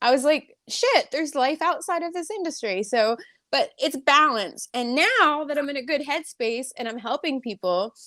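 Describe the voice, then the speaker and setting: A woman's high, raised and projected voice in an American accent, bright and sharp in tone, animated, with lively intonation at a moderate pace. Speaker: hair stylist and salon owner. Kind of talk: casual interview chat. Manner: halting.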